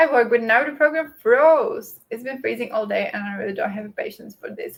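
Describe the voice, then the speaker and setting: A woman speaks with a non-native accent. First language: not English. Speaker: book and productivity YouTuber. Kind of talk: casual livestream chat. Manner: hesitant, many fillers.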